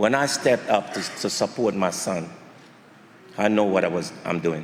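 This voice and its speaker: With audible room echo around him, a man speaks at a moderate pace in a fairly low pitch with ordinary pitch variation. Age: 70s. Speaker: boxing trainer and father of fighter. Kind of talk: press conference speech.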